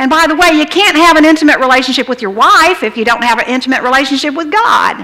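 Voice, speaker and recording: The voice is raised and projected. It moves at a very fast pace. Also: woman. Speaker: pastor. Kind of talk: sermon. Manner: animated. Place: church.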